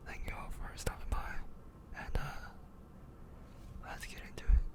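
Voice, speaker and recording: Over noticeable background noise, the whispering moves at a very slow pace. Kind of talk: ASMR video. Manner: whispered.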